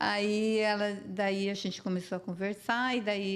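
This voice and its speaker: On a very clean recording with a silent background, a woman with an unremarkable speaking voice talks at a fairly slow pace and medium pitch. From southern Brazil (Paraná). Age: 60s. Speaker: businesswoman. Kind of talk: interview.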